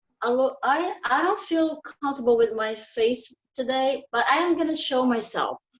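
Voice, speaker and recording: A woman with a Portuguese accent speaks in a high voice with lively intonation. She leaves hardly any pauses. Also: moderate pace. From Brazil. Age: 30s. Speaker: English learner volunteer. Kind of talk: self-introduction in online group.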